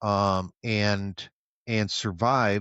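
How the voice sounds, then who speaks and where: A man's voice, fairly low in pitch. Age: 60s. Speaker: military veteran. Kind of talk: interview. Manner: halting, many fillers.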